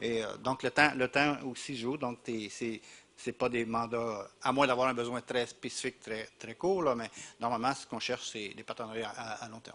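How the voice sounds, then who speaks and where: Speaking with a strong Quebec accent, a man uses a bright, sharp tone at medium pitch, a moderate pace, and fairly even intonation. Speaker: university representative, panelist. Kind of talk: panel discussion. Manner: halting, many repetitions.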